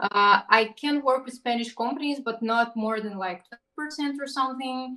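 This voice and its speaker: A woman projects a raised, high-pitched voice with a bright, sharp tone, ordinary pitch variation and big swings in loudness. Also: moderate pace. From Russia. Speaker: digital artist and illustrator. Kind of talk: casual interview.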